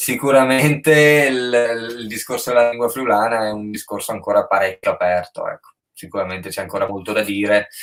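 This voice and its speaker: A man speaks fairly quickly at a medium pitch with ordinary pitch variation in an ordinary speaking voice. His loudness swings widely. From Friuli, Carnia (Tolmezzo). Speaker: rapper. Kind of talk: casual chat. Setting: live stream.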